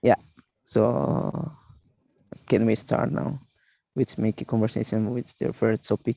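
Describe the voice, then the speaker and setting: Man at a fairly slow pace with long, frequent pauses, vocal fry, medium pitch, ordinary pitch variation and a dark, mellow tone, in a dry, close sound with no echo. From East Timor. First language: not English. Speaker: English class participant. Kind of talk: casual conversation practice. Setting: video call. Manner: halting.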